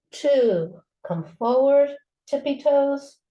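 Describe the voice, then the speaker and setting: A woman is speaking. Her intonation is lively. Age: 70s. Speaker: yoga teacher. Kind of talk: tutorial. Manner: casual.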